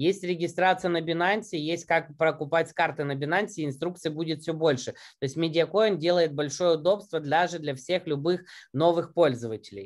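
The voice keeps a moderate pace with hardly any pauses and ordinary pitch variation against a quiet background. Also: man, high pitch for a man. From Ukraine. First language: Russian (speaking Spanish). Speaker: marketing director and network marketer. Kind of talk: business presentation. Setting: video call. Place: home room. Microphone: webcam.

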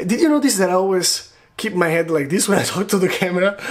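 A man with an Italian accent, high pitch and ordinary pitch variation. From Italy. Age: 20s. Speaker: video blogger. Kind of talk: vlog monologue to camera. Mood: playful, animated storytelling. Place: home room. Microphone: phone near.

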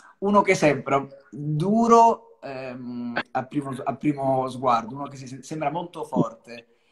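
Over noticeable background noise, the speech goes at a very slow pace with lively intonation and big swings in loudness. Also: man, fairly high pitch for a man. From Calabria, Italy (Cosenza); Calabria, Italy. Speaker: singer; guest. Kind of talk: live-stream interview. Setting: video call live stream. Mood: reflective, self-descriptive. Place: home room. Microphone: video call.

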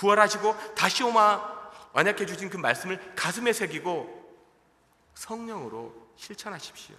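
The voice is raised and projected, moving at a fairly slow pace with ordinary pitch variation. Its loudness swings widely from moment to moment. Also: man, high pitch for a man. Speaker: pastor. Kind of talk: sermon. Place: church. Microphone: podium.

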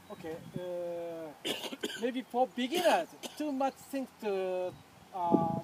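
Over noticeable background noise, a man talks very slowly at a high pitch with ordinary pitch variation, the sound dry with no echo. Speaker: archery instructor. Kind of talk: lecture. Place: open country. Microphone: camera far.

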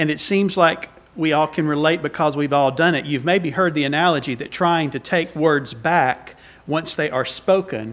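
A man speaks with a Southern US accent and ordinary pitch variation. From US South. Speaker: visiting preacher. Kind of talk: sermon. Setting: church. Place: church. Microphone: podium.

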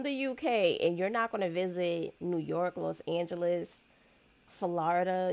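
A medium-pitched woman in an American accent, at a moderate pace. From United States. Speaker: YouTube reaction creator. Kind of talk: casual reaction commentary. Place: home room. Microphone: studio mic.

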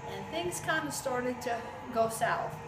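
A woman keeps a moderate speed while loud noise carries on behind her. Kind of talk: interview answer.

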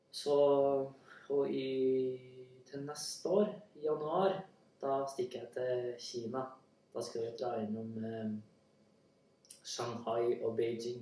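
In a room with audible echo, a man speaks at a very slow pace with ordinary pitch variation and long, frequent pauses. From Central Norway (Trøndelag). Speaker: language learning speaker. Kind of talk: casual spoken monologue for listening practice. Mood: relaxed, friendly. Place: home room. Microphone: camera far.

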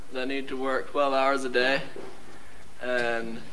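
Light background noise behind a man speaking. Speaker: actor playing a preacher in a staged play. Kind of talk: theatrical speech to an audience. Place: stage. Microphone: camera far.

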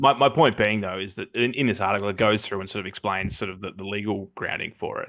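Very fast speech from a man with an Australian accent, fairly low in pitch, with fairly even intonation, big swings in loudness, hardly any pauses, and a quiet background. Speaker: comedy podcast co-host. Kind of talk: casual chat. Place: home room. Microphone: headset.

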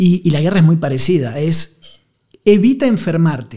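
The voice has a dark, mellow tone and lively intonation. Its pace is fairly slow. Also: man, quiet background. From Argentina, Buenos Aires. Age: 40s. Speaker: journalist and war correspondent; journalist, war correspondent. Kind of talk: casual chat. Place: studio. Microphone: studio mic.

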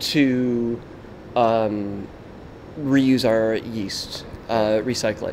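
A man with an American accent, fairly even intonation and long, frequent pauses, over light background noise. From United States. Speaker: head brewer. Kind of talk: brewery tour explanation; interview answer. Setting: brewery. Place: factory. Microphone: handheld.

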